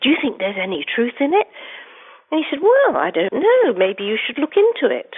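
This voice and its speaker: A woman speaks with an English accent. Her pitch swings very widely. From England, London. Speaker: investigative journalist and author. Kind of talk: interview.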